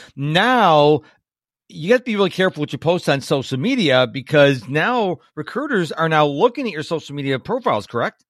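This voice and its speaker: Swinging very widely in pitch, a man speaks fairly quickly in a fairly high voice, in a very clean recording with a silent background. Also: dry, close sound with no echo. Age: 50s. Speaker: podcast host. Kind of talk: interview.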